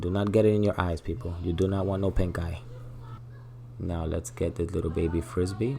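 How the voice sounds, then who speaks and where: A man's very deep, low voice at a moderate pace with ordinary pitch variation, music in the background. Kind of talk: comedic makeup tutorial voiceover. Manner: joking, playful.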